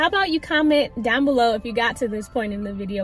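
The voice has ordinary pitch variation and a dry sound with no echo, while faint music plays in the background. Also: woman. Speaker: vlogger. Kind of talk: casual vlog chat. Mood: warm, reflective. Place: car. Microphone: phone near.

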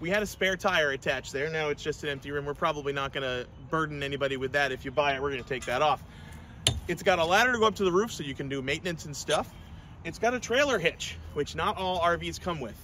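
The speaker goes at a very fast pace with lively intonation and a bright, sharp tone, the sound dry with no echo and light background noise behind it. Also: man. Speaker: RV seller. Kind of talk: sales walkthrough. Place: garden. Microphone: phone near.

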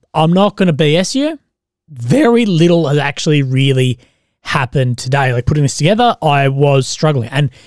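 The speech goes at a moderate pace, the sound dry with no echo and the background quiet. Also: man. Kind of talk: commentary. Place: home room. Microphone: studio mic.

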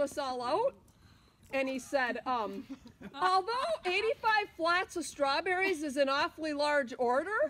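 Against light background noise, a woman with a high voice and lively intonation talks at a fairly slow pace, leaving long, frequent pauses. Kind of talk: casual storytelling. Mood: amused, laughing while telling. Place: open country.

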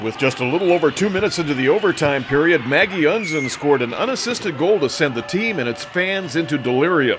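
Over music in the background, someone talks at a very fast pace with lively intonation. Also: man. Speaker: local news reporter / sports announcer. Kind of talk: local news sports report.

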